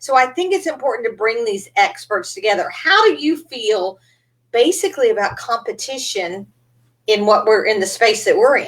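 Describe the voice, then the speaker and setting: In a Texan accent, a woman with a high pitch speaks at a moderate pace in an animated tone, her pitch swinging very widely. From East Texas. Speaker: podcast host, business coach. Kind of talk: interview.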